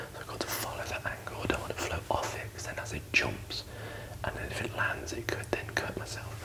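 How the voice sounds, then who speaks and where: A man whispers at a fairly quick pace over noticeable background noise. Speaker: barber. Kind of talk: ASMR shaving tutorial. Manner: whispered.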